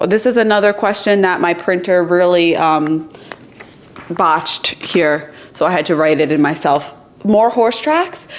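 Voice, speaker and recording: Over noticeable background noise, a woman with an American accent speaks at a fairly slow pace in an animated tone, with ordinary pitch variation and very even loudness. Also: fairly low pitch for a woman. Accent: New York accent, noticed by viewers. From New York. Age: 20s. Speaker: YouTuber. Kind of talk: casual Q&A chat to camera.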